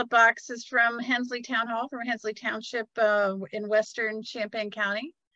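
At a moderate pace, a woman with a fairly high voice talks over a quiet background, the sound dry with no echo. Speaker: museum director. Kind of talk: guided virtual tour. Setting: live video stream. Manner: halting. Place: hall. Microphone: phone near.

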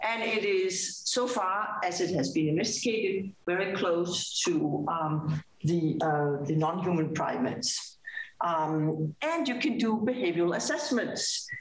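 A woman with a fairly low pitch and lively intonation, at a fairly slow pace and very even loudness, with audible room echo. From Denmark. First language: Danish. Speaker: neuroscientist. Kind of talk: lecture. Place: hall.

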